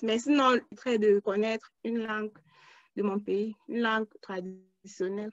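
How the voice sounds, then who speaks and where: In an unremarkable speaking voice, a woman speaks at a fairly slow pace with a fairly high pitch and fairly even intonation. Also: dry, close sound with no echo. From Cameroon. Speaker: crowd worker, student. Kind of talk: interview.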